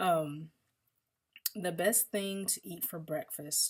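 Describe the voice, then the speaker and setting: A woman talks at a very slow pace with a slight Southern US accent. Her fairly low pitch shows ordinary variation. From US South, Mississippi. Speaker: vlogger. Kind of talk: casual Q&A monologue. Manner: casual, many fillers.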